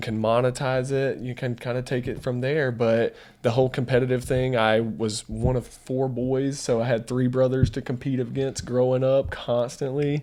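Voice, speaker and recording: Speaking with a North Carolina accent, a man of medium pitch keeps a moderate pace and a monotone, flat intonation. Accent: Randolph County North Carolina. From US South, North Carolina, Randolph County. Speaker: mortgage business owner. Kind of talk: podcast interview.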